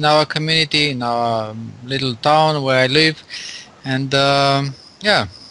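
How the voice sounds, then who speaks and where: Amid noticeable background noise, a man with a fairly high pitch talks with long, frequent pauses. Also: fairly even intonation, fairly slow pace. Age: 50s. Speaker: engineer, English learner. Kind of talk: casual chat. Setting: Skype call. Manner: halting.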